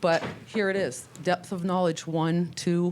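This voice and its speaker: This is a woman speaking. Her pitch is medium. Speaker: middle school math teacher. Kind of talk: board meeting presentation. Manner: fast.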